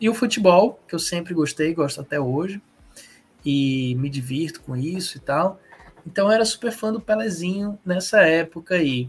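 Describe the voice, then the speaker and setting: Here a man talks at a moderate pace. His pitch is high and his intonation lively. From Ceará, Brazil. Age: 40s. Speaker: comic book artist and teacher. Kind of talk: interview.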